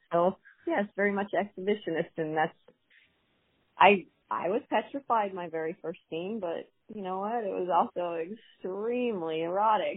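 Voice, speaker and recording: A woman with an unremarkable speaking voice, medium in pitch, at a moderate pace with ordinary pitch variation. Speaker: adult performer. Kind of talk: casual interview chat.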